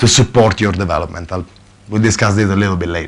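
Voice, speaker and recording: A man speaks with an Italian accent. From Italy. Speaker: software consultant manager. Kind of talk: conference talk. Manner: hesitant, many fillers.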